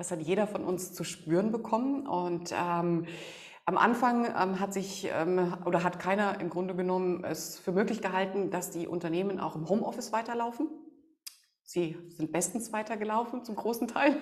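A woman speaks at a moderate pace and medium pitch with ordinary pitch variation. Audible room echo surrounds her voice. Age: 40s. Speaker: negotiation expert and emotion coach. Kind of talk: podcast interview.

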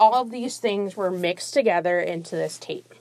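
On a very clean recording with a silent background, a woman with a plain, everyday voice speaks at a moderate pace and medium pitch with ordinary pitch variation. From South Florida, US (born in Brazil). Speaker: podcast host. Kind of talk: solo monologue podcast. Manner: casual, conversational.

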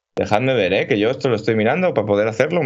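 This man talks at a medium pitch with lively intonation. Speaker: video game podcast host. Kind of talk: casual chat. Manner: animated.

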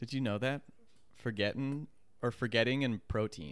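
Ordinary pitch variation and a moderate pace mark this man's plain, everyday voice. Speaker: podcast host. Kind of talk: casual banter. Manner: playful, joking.

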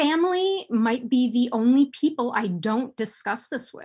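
Speaking at a fairly slow pace, a woman with an American accent uses lively intonation, a high pitch and a dark, mellow tone. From United States. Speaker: sex and relationship advice writer. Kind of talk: interview conversation. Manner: heavy sighs.

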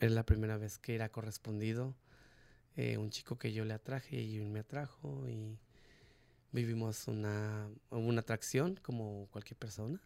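A man's fairly low, dark, mellow voice at a moderate pace with ordinary pitch variation. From Mexico. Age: 30s. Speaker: interviewee sharing life story. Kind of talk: testimony.

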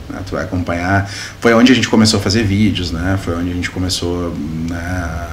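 A man's very deep, low voice at a fairly quick pace, fairly even in intonation, with audible room echo and noticeable background noise. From Sapiranga, Rio Grande do Sul, southern Brazil. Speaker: municipal government adviser. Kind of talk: interview.

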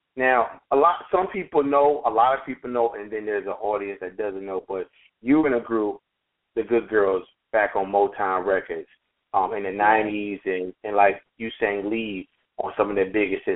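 Here is a plain, everyday voice. It moves at a moderate pace with ordinary pitch variation. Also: man, fairly low pitch for a man. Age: 30s. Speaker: podcast host. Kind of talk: interview.

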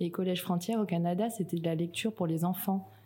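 Somewhat breathy and dark, mellow in tone, a woman speaks at a fairly quick pace. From New Caledonia. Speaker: project manager at a recycling network. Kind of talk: interview.

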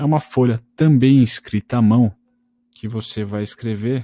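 A man's dark, mellow voice at a medium pitch, fairly slow, with ordinary pitch variation, in a very clean recording with a silent background and a dry, close sound with no echo. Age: 20s. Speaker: trading podcaster. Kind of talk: solo podcast tutorial. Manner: casual, conversational.

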